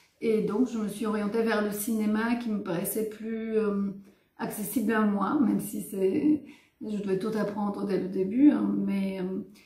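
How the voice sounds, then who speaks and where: With a Bulgarian accent, a woman speaks at a medium pitch with fairly even intonation in a room with audible echo. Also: fairly slow pace. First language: Bulgarian (speaking French). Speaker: writer and filmmaker. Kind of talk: interview. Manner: hesitant, many fillers.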